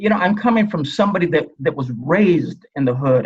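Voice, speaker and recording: This man's voice is somewhat breathy, with lively intonation. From Los Angeles, US. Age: 70s. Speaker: retired police officer and author. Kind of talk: interview.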